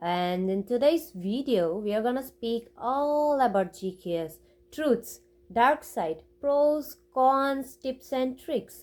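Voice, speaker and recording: Her high voice moving at a very slow pace, a woman speaks with lively intonation. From India. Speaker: university student, scholarship holder. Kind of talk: casual talk to camera, advice.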